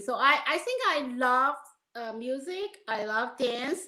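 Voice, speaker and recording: This woman speaks with a Chinese accent and a high pitch. Her intonation is lively. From China. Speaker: film and musical producer. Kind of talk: interview.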